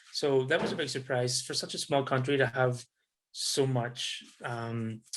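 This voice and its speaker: In a Northern Irish accent, the speaker talks fairly slowly with fairly even intonation. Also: man, medium pitch for a man. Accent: soft Northern Irish. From Northern Ireland, Belfast. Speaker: tourism business development specialist, expat. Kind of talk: interview conversation. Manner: hesitant, repeating words.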